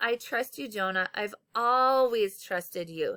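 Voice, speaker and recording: Using a put-on character voice, a woman talks at a fairly slow pace with a fairly high pitch and ordinary pitch variation. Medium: read story.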